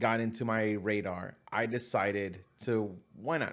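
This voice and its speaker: On a very clean recording with a silent background, a man uses a fairly low pitch and an animated tone. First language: not English. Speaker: film reviewer. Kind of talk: casual movie review monologue.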